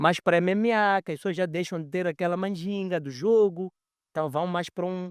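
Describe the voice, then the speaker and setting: The speech comes at a moderate pace, with a dry, close sound and no echo, on a very clean recording with a silent background. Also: man. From Mozambique. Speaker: capoeira master. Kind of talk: podcast conversation.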